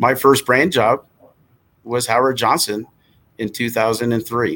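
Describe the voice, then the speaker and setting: A man with an American accent and a plain, everyday voice, medium pitch, fairly slow pace, on a very clean recording with a silent background. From New Jersey. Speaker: hotel association executive. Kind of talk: interview.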